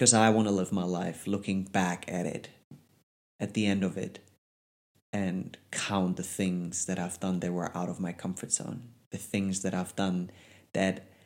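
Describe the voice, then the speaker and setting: Speaking with a German accent, a man has a very deep, low voice and fairly even intonation at a moderate pace. The recording is very clean, with a silent background. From Germany. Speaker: podcast host, life coach. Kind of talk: solo motivational monologue. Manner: casual, conversational.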